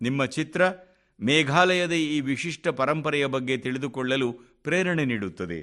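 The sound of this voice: A man speaks at a medium pitch and a moderate pace, his tone bright and sharp. His intonation is lively in a very clean recording with a silent background.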